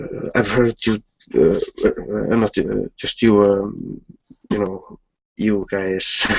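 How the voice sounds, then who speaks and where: With a non-native accent, a man speaks at a very slow pace, leaving long, frequent pauses. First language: not English. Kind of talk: casual chat. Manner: halting.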